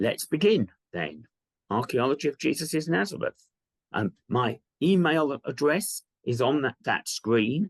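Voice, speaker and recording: A man talks at a fairly slow pace with fairly high pitch, very wide pitch swings and vocal fry, in a dry, close sound with no echo. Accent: British. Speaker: archaeology professor. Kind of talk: lecture. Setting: virtual lecture. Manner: hesitant, many ums.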